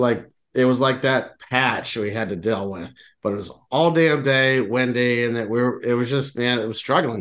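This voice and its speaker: A normal speaking voice with an American accent, moderate pace, ordinary pitch variation and a quiet background. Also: man, medium pitch for a man. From Texas, Houston. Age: 40s. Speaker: podcast co-host, angler. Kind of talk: casual chat.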